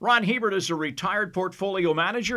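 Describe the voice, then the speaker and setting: A man projects a raised voice in a bright, sharp tone. His pitch is high, with ordinary variation. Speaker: podcast host. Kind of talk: casual chat.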